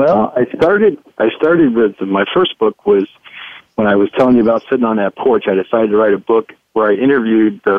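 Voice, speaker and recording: The speaker has an American accent and a plain, everyday voice. The pace is fairly quick, with ordinary pitch variation. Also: man. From Ohio, US Midwest. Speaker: economist and author. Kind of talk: radio interview. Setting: studio.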